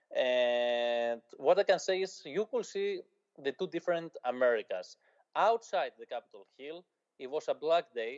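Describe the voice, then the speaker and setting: A man with a Greek accent speaks at a high pitch, his voice swinging very widely up and down. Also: fairly slow pace. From Greece. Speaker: journalist. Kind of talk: interview.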